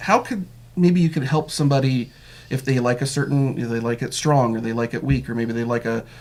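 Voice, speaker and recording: This man talks at a fairly quick pace and medium pitch. His pitch varies in an ordinary way. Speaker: local news interview host. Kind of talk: interview. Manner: fast.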